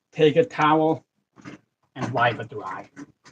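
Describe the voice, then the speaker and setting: The man's somewhat breathy voice comes through with a dry, close sound and no echo. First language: not English. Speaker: fishing livestreamer. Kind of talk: live stream tutorial.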